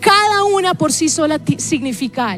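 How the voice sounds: Music plays in the background as a woman with a Colombian accent speaks fairly slowly in a high pitch, her voice swinging very widely in pitch.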